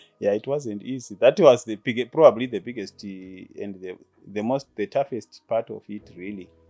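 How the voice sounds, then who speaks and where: Music plays in the background while a man speaks at a medium pitch and a moderate pace, with ordinary pitch variation and big swings in loudness, the sound dry and close with no echo. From rural Zimbabwe (Gutu). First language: Shona. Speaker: insurance business owner. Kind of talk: interview. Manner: halting.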